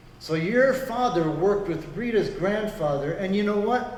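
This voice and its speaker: A man talks in a high voice with ordinary pitch variation. The room echo is audible and background noise is noticeable. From grew up in Congo. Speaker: pastor. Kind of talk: interview.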